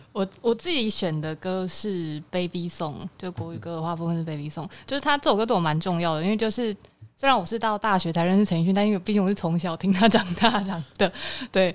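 At a fairly quick pace, a woman speaks in a plain, everyday voice at medium pitch with ordinary pitch variation. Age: 20s. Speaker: music fan guest. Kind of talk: casual chat.

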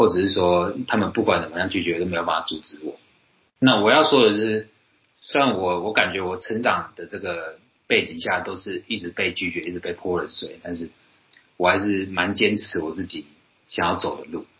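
A man's ordinary speaking voice, moderate in pace, fairly low in pitch, and with ordinary pitch variation. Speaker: podcast host. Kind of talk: casual chat.

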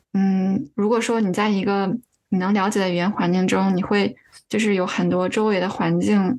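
At a moderate pace, a woman talks in an ordinary speaking voice of medium pitch with fairly even intonation. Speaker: user experience researcher. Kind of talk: casual interview chat.

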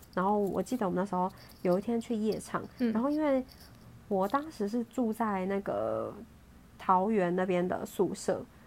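A woman with an unremarkable speaking voice talks at a moderate pace, her medium pitch showing ordinary variation. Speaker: podcast host. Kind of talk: casual chat.

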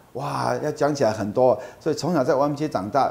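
The voice has vocal fry and ordinary pitch variation, moving at a fairly quick pace. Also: man. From Taiwan, Kaohsiung. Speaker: nonprofit executive. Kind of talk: interview.

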